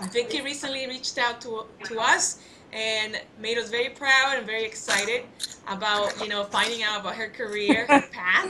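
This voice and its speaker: A woman with a fairly high pitch and ordinary pitch variation. Noticeable background noise sits behind her. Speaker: interviewer. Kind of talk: interview host talk.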